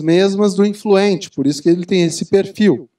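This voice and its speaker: A man speaks at a moderate pace in a high pitch. The background is quiet. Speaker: executive coach, speaker. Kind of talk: lecture. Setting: stage with audience. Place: hall. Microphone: handheld.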